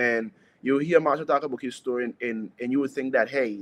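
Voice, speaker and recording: A man speaks with an Anguillan accent. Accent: Anguillan Caribbean English. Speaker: soca singer. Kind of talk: interview.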